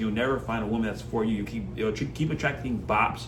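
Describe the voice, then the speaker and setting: Through audible room echo and noticeable background noise, a man talks at a very fast pace. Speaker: self-improvement coach. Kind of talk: motivational monologue. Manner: passionate.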